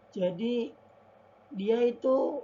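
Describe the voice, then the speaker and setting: A woman talks over noticeable background noise. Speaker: university student. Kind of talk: class presentation. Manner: quiet. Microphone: faulty mic, voice may be quiet.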